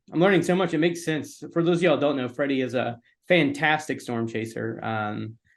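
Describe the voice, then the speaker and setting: An unremarkable speaking voice from a man, fairly high in pitch, with ordinary pitch variation and a fairly quick pace. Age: 40s. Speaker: podcast host and storm chaser. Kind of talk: casual chat.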